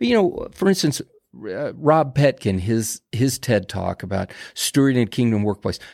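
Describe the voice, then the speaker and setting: An unremarkable speaking voice with lively intonation moves at a moderate pace in a dry, close sound with no echo on a very clean recording with a silent background. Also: man, medium pitch for a man. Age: 60s. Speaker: ministry leader and prayer organizer. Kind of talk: casual interview chat. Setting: podcast studio.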